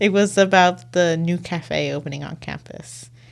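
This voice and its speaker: With an American accent, a woman speaks in a very deep, low voice marked by vocal fry and ordinary pitch variation. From San Francisco, US. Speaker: student editor. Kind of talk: interview. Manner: casual, filler-heavy.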